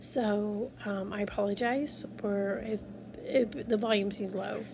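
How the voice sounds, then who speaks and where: A quiet woman's voice with ordinary pitch variation. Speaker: vlogger. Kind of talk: casual vlog monologue. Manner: quiet, low volume; rambling, hesitant. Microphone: phone mic, no external mic.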